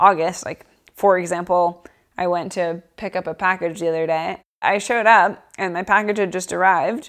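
Recorded very cleanly with a silent background, a woman with an American accent talks at a moderate pace in a medium pitch, her intonation fairly even. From Boston, US. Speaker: assistant professor. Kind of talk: casual interview.

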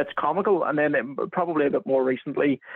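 In a Northern Irish accent, a man speaks at a fairly quick pace. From Northern Ireland, County Armagh. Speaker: NFL content writer. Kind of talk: casual chat. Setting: phone call.

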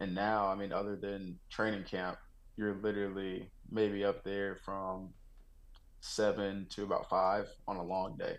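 Recorded with audible room echo, a man with an American accent talks at a fairly slow pace in a fairly low, monotone voice with flat intonation. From Texas. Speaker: NFL rookie wide receiver. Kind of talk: interview.

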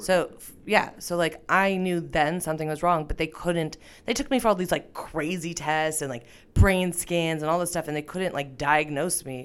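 In a very clean recording with a silent background, a woman with an ordinary speaking voice talks at a moderate pace, with a fairly low pitch and ordinary pitch variation. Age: 30s. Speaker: comedian. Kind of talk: casual chat. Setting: studio.

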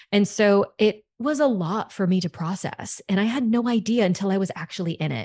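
Somewhat breathy and medium in pitch, a woman speaks with hardly any pauses and ordinary pitch variation over a quiet background. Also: fairly quick pace. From US South, Louisiana. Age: 30s. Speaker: sex coach. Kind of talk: casual interview chat.

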